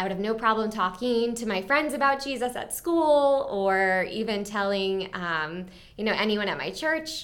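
In an American accent, a woman with an ordinary speaking voice talks at a moderate pace and a fairly high pitch, her intonation lively. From Maryland, US. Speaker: future missionary. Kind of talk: personal testimony.

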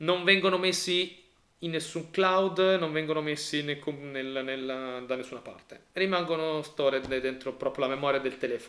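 The voice is bright and sharp in tone, with ordinary pitch variation and a moderate pace. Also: man, fairly high pitch for a man. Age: 30s. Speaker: podcast co-host. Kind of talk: casual chat. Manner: halting, repeats words.

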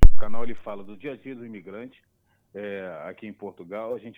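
Speaking at a fairly quick pace, this man has an unremarkable speaking voice. His medium pitch carries fairly even intonation. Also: big swings in loudness. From Brazil, Niterói (Rio de Janeiro). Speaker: immigrant video creator. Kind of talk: casual chat.

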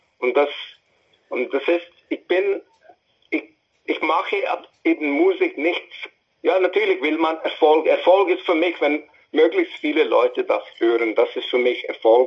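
A man speaks at a fairly slow pace, stopping often for long pauses. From India (New Delhi). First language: English (also Hindi) (speaking German). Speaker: musician. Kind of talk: interview. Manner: halting.

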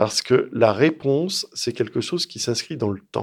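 A man speaks at a medium pitch with lively intonation. The recording is very clean with a silent background. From France, Lyon. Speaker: strategic studies researcher and author. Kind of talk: interview.

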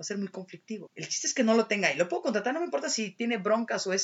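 A woman is speaking. Her intonation is lively. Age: 30s. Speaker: alternative therapist. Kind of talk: casual chat.

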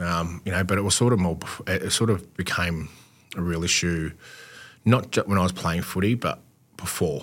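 A man speaks in a very deep, low voice with an Australian accent, at a fairly quick pace and with ordinary pitch variation. The recording is very clean, with a silent background. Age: 40s. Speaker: former pro footballer, mental health advocate. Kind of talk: casual interview.

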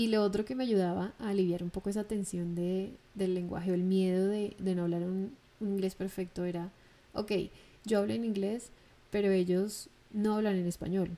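A dark, mellow tone with fairly even intonation at a moderate pace. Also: woman, medium pitch for a woman. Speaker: podcast host. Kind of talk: solo monologue.

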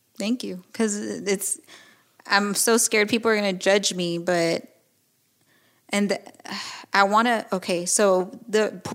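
Recorded very cleanly against a silent background, a woman with an American accent speaks fairly slowly at a medium pitch with fairly even intonation. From Mexican American, US. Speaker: podcaster, divorced mother. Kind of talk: personal interview. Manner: halting, many restarts and repetitions.

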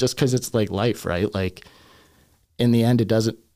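In a very clean recording with a silent background, a man with a Canadian accent and an ordinary speaking voice talks at a fairly quick pace, his fairly low pitch showing ordinary variation. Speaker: hip hop artist. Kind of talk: casual chat. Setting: studio.

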